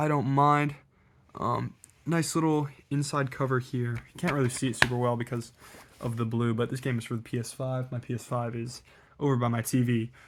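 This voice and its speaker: At a fairly quick pace, a man with a medium pitch uses fairly even intonation in a very clean recording with a silent background. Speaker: video creator showing collection. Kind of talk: casual collection showcase. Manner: casual with fillers; fast.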